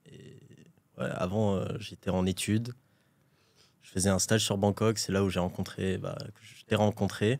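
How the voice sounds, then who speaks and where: Someone speaks at a fairly slow pace with long, frequent pauses, big swings in loudness and ordinary pitch variation, in a very clean recording with a silent background. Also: man, fairly low pitch for a man. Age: 20s. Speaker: e-commerce entrepreneur. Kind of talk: interview. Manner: casual, hesitant with fillers.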